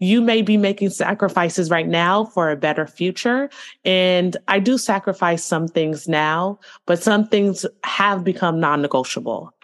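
At a fairly slow pace, an ordinary speaking voice holds very even loudness with ordinary pitch variation. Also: woman, medium pitch for a woman. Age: 30s. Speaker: communications consultant and professor. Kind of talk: interview.

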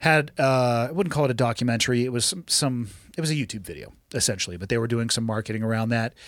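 On a very clean recording with a silent background, a man talks at a very fast pace in an American accent, with ordinary pitch variation. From California. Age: 40s. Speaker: podcast host and special operations veteran. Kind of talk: casual chat. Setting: studio. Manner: profane, blunt.

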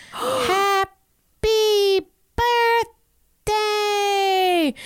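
An extremely high-pitched, put-on character voice. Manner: slow, begrudging, monotone.

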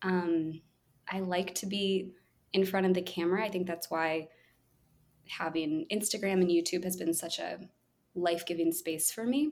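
Quiet and calm, a woman speaks at a moderate pace and medium pitch with ordinary pitch variation and long, frequent pauses. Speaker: children's musician and early childhood music educator. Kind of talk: casual interview. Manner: calm, quiet on video but extroverted in person.

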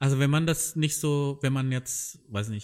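The recording is very clean, with a silent background. A man speaks at a moderate pace in a medium pitch with lively intonation. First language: not German (speaking German). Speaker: podcast host. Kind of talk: casual chat. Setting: in a tent.

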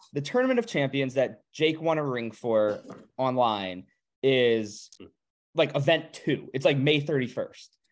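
A man with a fairly high pitch talks at a fairly slow pace in a plain, everyday voice. His pitch varies in an ordinary way. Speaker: poker podcast host. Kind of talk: casual chat. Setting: video call.

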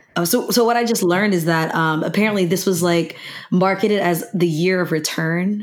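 Noticeable background noise is present behind a woman speaking at a fairly quick pace. Her voice is medium in pitch, with ordinary pitch variation and very even loudness. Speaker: podcast host. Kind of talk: casual chat.

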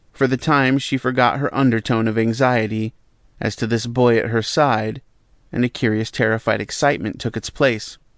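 With a normal speaking voice, a man speaks at a moderate pace, with medium pitch, fairly even intonation and a dry, close sound without echo. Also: quiet background. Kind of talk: audiobook reading. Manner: measured, even, calm literary narration.

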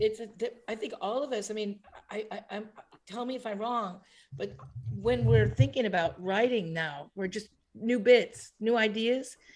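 With lively intonation, a woman speaks at a moderate pace. Her voice has vocal fry. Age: 60s. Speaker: comedian. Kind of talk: casual chat. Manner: halting.

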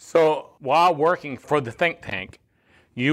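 A man with an unremarkable speaking voice, lively intonation and a moderate pace, in a very clean recording over a silent background. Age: 60s. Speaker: podcast host. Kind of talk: casual chat.

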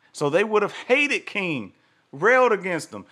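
A man talks at a moderate pace with very wide pitch swings, an animated, bright, sharp tone and vocal fry. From US South. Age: 40s. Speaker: podcast host. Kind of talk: solo commentary livestream.

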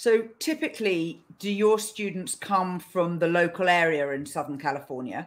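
A woman speaks at a moderate pace with a fairly low pitch. Hers is an ordinary speaking voice, with ordinary pitch variation. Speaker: podcast host. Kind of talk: interview.

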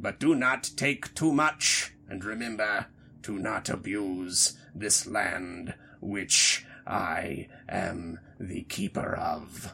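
Someone talks very slowly in a put-on character voice. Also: man. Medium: actual play. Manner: stern, terse, solemn.

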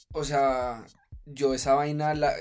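Very slowly, a man delivers his words. He has a fairly high pitch. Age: 30s. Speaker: fitness influencer and triathlete. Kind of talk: casual interview chat.

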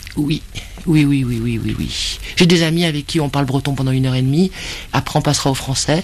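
Noticeable background noise sits behind a woman with a very deep, low voice. She talks at a fairly quick pace with fairly even intonation. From Brittany. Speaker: bookseller. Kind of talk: interview.

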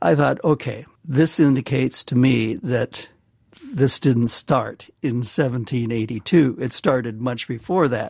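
Very slowly, a man with an American accent and vocal fry speaks with ordinary pitch variation in a dry, close sound with no echo. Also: medium pitch for a man. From US Midwest, Nebraska. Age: 70s. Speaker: banker. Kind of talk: interview. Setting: studio.

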